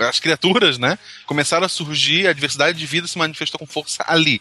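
Fairly quick speech from a man with a fairly high pitch, ordinary pitch variation, and noticeable background noise. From Santa Catarina, Brazil (Gaspar). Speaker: science podcast co-host. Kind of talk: casual chat.

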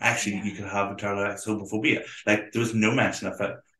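A man with a Belfast accent. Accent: Belfast Northern Irish. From Northern Ireland, Belfast. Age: 30s. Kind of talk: casual interview chat.

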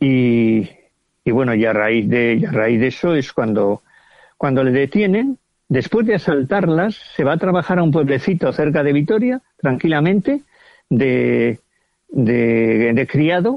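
In a plain, everyday voice, a man speaks at a fairly slow pace and fairly high pitch, with lively intonation and very even loudness. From Villajoyosa, Alicante, Spain. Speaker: novelist. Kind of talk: casual interview.

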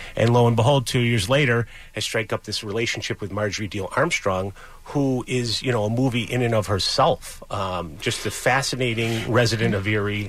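A man's pitch moves in an ordinary way while noticeable noise sits in the background. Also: medium pitch for a man, moderate pace. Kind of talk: storytelling recount, casual interview. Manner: conversational, rambling with fillers.

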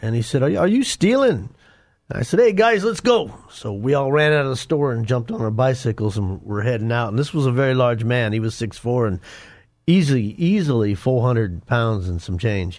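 A man with a plain, everyday voice speaks in an American accent at a medium pitch. His intonation is lively and his pace fairly quick against a quiet background. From Denver, Colorado. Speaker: former gang member turned ministry author. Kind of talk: testimony.

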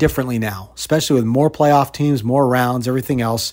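With a plain, everyday voice, a man speaks at a medium pitch and ordinary pitch variation. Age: 50s. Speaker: sports radio host. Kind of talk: monologue podcast commentary. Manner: conversational, with fillers.

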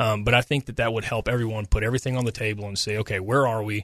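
Against a quiet background, a man talks very fast at a medium pitch in a monotone, flat intonation. The sound is dry and close with no echo. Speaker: governor's spokesman. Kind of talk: radio interview.

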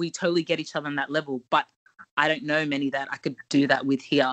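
A woman speaks at a very fast pace. She talks with an Australian accent. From Ghana. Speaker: podcast co-host. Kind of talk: casual chat.

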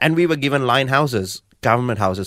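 A man of medium pitch with a Sri Lankan accent at a very fast pace, in a very clean recording with a silent background. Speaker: guest sharing life story. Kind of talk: testimony. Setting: studio.

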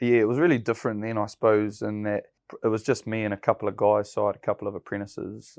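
Very fast speech comes from a man with a New Zealand accent, pitched fairly low with fairly even intonation. The sound is dry and close with no echo, over a quiet background. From New Zealand, South Waikato. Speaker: builder and construction business owner. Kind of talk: interview. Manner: casual, with many fillers.

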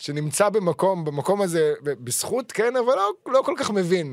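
A man speaks in a high pitch at a moderate pace. His pitch swings very widely. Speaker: sports podcast host. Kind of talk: casual chat.

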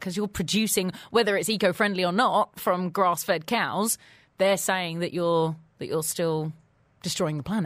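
A woman speaks in an ordinary speaking voice at medium pitch. Her pace is moderate and her pitch varies in an ordinary way. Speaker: radio host. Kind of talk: radio interview. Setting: studio.

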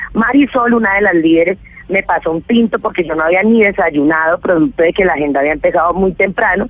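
Very fast speech from a woman at a medium pitch, with ordinary pitch variation. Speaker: city councillor. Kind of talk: radio interview. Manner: halting, repetitive.

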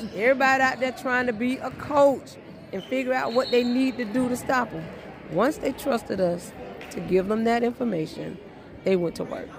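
Crowd noise fills the background as a woman with a high pitch talks at a moderate pace. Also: ordinary pitch variation. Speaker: high school basketball coach. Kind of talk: post-game interview.

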